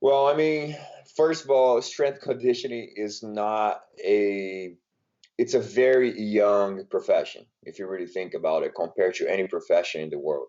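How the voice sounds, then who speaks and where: Speaking at a moderate pace, a man talks with a Brazilian Portuguese accent. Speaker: strength and conditioning coach. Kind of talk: podcast interview. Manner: hesitant, many fillers.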